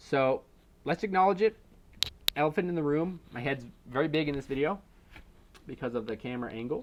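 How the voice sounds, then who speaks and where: With lively intonation and long, frequent pauses, a man talks at a fairly quick pace in a fairly high pitch. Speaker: car YouTuber. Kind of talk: casual vlog commentary. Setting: at home, thin walls.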